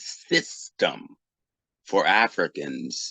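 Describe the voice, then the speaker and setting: In a dry, close sound with no echo, a man with an American accent speaks in a bright, sharp tone. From US Northeast, Boston. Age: 50s. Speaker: technology professional and Pan-Africanist thinker. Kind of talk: interview. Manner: halting, many fillers.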